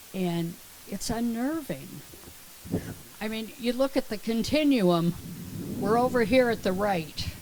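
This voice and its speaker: Amid noticeable background noise, a woman with a fairly high pitch speaks at a fairly slow pace, pausing long and often. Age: 70s. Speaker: congregation member. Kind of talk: personal story sharing.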